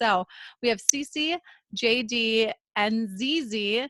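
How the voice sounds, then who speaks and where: Recorded very cleanly with a silent background and a dry, close sound with no echo, a woman speaks at a fairly high pitch with a Minnesotan accent. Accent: Minnesota. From central Minnesota. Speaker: podcast co-host, entrepreneur. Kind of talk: casual interview chat.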